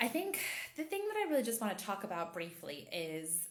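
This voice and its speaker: A woman's voice with audible room echo. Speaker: intimacy and empowerment coach. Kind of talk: casual chat.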